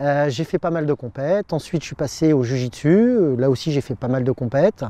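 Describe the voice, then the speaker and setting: With lively intonation, a man speaks at a fairly high pitch in a dry, close sound with no echo. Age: 50s. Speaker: martial arts instructor. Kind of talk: class instruction; interview monologue. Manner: loud commanding; halting, many hesitations.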